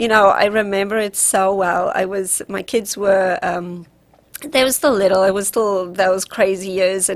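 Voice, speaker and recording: A woman with a South African accent, medium pitch, fairly even intonation and a fairly slow pace. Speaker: relationship coach. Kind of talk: radio interview.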